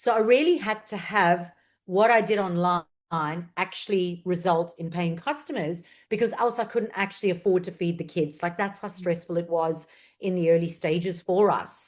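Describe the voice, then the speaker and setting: At a moderate pace, a woman with a South African accent talks in a medium pitch against a quiet background. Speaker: marketing strategist. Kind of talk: interview.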